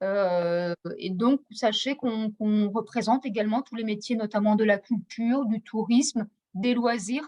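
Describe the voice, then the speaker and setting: A woman speaks at a fairly slow pace in a fairly high pitch, her tone dark, mellow and somewhat breathy. Her intonation stays fairly even, and the sound is dry and close with no echo. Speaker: training funding advisor. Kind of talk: webinar presentation. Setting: video call.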